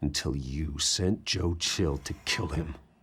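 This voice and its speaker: In a put-on character voice, a man growls at a very deep, low pitch and a fairly slow pace. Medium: video game. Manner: terse, controlled.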